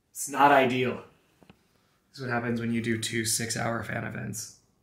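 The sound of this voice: A man in a hoarse, put-on character voice speaks at a moderate pace with a medium pitch and flat, monotone intonation, his loudness swinging widely amid audible echo.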